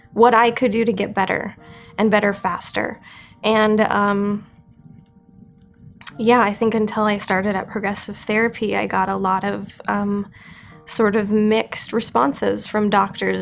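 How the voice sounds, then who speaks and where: Over music in the background, a woman talks at a moderate pace in a fairly high pitch with monotone, flat intonation. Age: 30s. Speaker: family therapist, brain injury patient. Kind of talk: interview answer.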